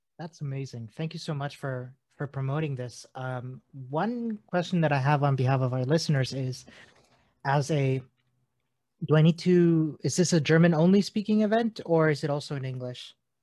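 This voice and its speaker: With an ordinary speaking voice, a man talks at a moderate pace in a fairly high pitch on a very clean recording with a silent background. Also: ordinary pitch variation. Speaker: podcast host. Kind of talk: casual interview chat.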